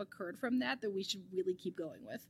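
With an East Coast American accent, a woman speaks in an animated tone with lively intonation. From US East Coast. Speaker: marriage, family and sex therapist. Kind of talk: casual interview.

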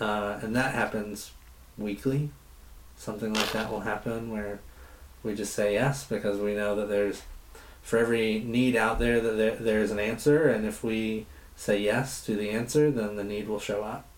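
Audible room echo accompanies speech at a moderate pace. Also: man, fairly low pitch for a man, fairly even intonation. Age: young. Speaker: nonprofit director. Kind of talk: interview. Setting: on location interview.

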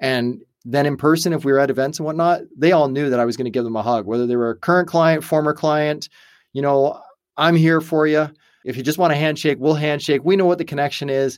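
In a very clean recording with a silent background, a man speaks at a very fast pace. His pitch is fairly high, with ordinary pitch variation. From Canada. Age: 40s. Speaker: entrepreneur and company founder. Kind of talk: interview conversation. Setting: studio.

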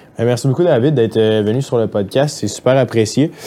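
With a Quebec accent, a man talks at a moderate pace with ordinary pitch variation. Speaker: podcast host. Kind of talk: casual interview. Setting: studio.

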